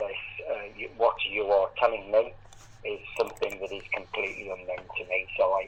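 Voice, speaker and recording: A man delivers his words at a moderate pace while noticeable background noise carries on. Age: 60s. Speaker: Jehovah's Witness. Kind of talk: debate on a call. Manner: halting.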